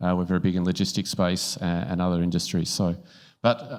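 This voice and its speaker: The pace here is fairly quick. The voice carries an Australian accent. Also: man. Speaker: panel moderator, company co-founder. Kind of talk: conference panel moderation.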